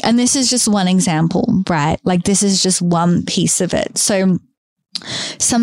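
Recorded with a dry, close sound and no echo, a woman speaks at a medium pitch and a moderate pace. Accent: Australian. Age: 30s. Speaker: podcast host. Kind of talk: solo podcast monologue.

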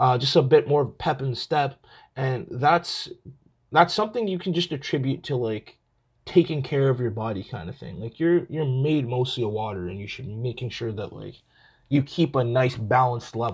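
A man talks at a medium pitch with lively intonation. His voice is raspy with a slightly husky edge.

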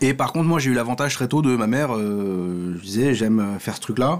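This is a man with an unremarkable speaking voice at medium pitch. He talks at a fairly quick pace with lively intonation. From France, Paris. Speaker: comedy writer. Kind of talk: casual chat.

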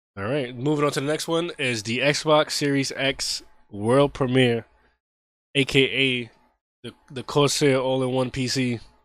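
A man's plain, everyday voice, medium in pitch, fairly slow, with fairly even intonation. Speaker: podcast host. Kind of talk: casual chat.

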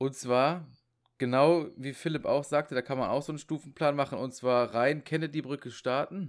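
A man with a normal speaking voice talks at a moderate pace in a fairly high pitch with fairly even intonation. The recording is very clean, with a silent background. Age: 30s. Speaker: podcast guest. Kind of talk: casual chat.

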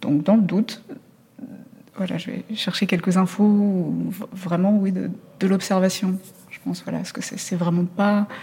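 A woman speaks fairly slowly in a medium pitch, with a dark, mellow tone and a somewhat breathy quality. Her intonation stays fairly even, while her loudness swings widely and long pauses come often. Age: 40s. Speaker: journalist. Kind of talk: interview. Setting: theatre lobby. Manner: halting.

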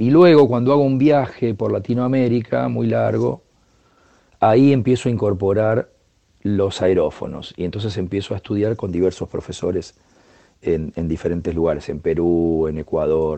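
In a Rioplatense accent, a man speaks at a moderate pace, his fairly low pitch swinging very widely. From Buenos Aires province, Argentina (General Pacheco). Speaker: percussionist. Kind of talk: interview.

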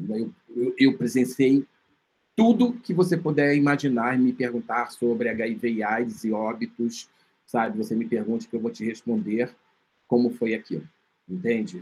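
A man's medium-pitched voice at a moderate pace, ordinary pitch variation, and long, frequent pauses. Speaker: filmmaker and HIV researcher. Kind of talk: interview.

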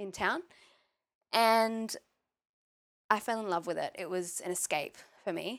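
Ordinary pitch variation marks the speech of a woman with an Australian accent. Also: very clean recording, silent background. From Australia, Maitland NSW. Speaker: yoga teacher. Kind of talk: interview chat.

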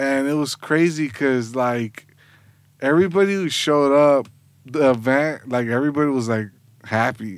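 On a very clean recording with a silent background, a man with a fairly high pitch and an American accent talks at a moderate pace in an ordinary speaking voice with ordinary pitch variation. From Southgate, Los Angeles area, California. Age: 30s. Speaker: graphic designer and creative business owner. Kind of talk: podcast interview.

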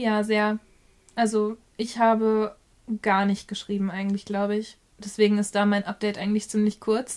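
A woman at a fairly high pitch, monotone and flat in intonation, at a moderate pace. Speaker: book podcast co-host. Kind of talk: casual chat.

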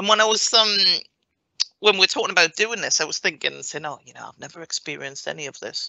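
A woman speaks at a very fast pace with lively intonation. Her loudness swings widely. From Northumberland, England. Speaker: chief operating officer.

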